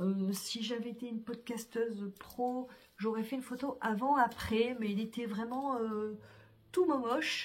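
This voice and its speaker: Fairly high for a woman, this voice holds a fairly even intonation. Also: fairly slow pace. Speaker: vlogger. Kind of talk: casual vlog talk to camera. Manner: hesitant, many fillers.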